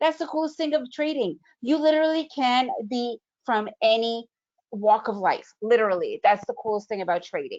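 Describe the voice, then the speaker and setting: An animated, high-pitched woman with an American accent, her pitch swinging very widely at a moderate pace. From United States. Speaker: trading educator. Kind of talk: webinar presentation. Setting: online video event.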